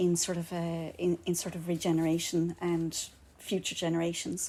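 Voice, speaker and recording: A woman speaks with a Kerry accent. Her fairly low voice has a dark, mellow tone. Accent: Kerry Irish. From Ireland, County Kerry. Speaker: architect. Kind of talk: public talk. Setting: live event in a bar with audience.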